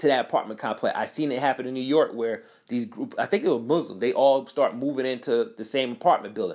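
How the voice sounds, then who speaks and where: A man talks in an animated tone. The recording is very clean, with a silent background. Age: 30s. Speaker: podcast host. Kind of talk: solo commentary monologue.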